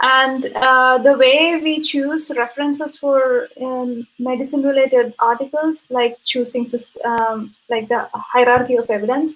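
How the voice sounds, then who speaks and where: A woman with a Keralan accent speaks at a high pitch with fairly even intonation. Her pace is fairly slow, with hardly any pauses. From India, Kerala. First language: Malayalam. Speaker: physician and researcher. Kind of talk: interview.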